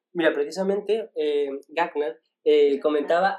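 A man with a plain, everyday voice, fairly high in pitch, at a moderate pace and with lively intonation. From Asturias, Spain. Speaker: podcast co-host. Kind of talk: casual chat. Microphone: poor audio quality.

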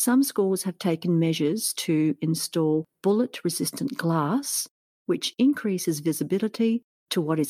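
With an Australian accent, a woman speaks at a fairly low pitch and a fairly slow pace, her dark, mellow tone shaped by lively intonation in a dry, close sound with no echo on a very clean recording with a silent background. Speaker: podcast host, teacher. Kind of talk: scripted narration.

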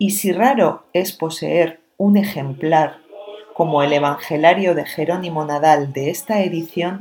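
A woman with an ordinary speaking voice talks with ordinary pitch variation. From Spain, La Rioja. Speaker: radio presenter. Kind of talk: scripted narration.

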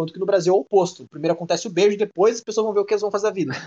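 Ordinary pitch variation comes through in this man's high-pitched voice. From Brazil. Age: 20s. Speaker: podcast co-host. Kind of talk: casual chat.

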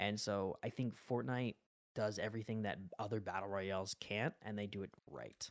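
A man with an American accent speaks in an ordinary speaking voice, fairly low in pitch. His pace is moderate and his intonation fairly even. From Las Vegas, Nevada. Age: 20s. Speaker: streamer and college student. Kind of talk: casual chat.

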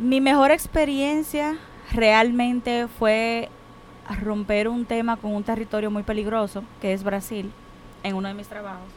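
An ordinary speaking voice moves at a fairly slow pace with ordinary pitch variation. Loudness swings widely throughout. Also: woman, fairly high pitch for a woman. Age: 20s. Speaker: international shipping professional. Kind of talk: casual chat.

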